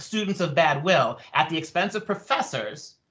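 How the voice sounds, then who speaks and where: Loud male voice over noticeable background noise. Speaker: professor, debate panelist. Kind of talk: panel debate. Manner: animated.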